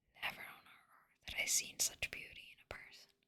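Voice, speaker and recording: A woman is whispering. Her pace is moderate. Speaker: ASMR artist. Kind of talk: whispered audiobook-style reading of literature. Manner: whispered, soft.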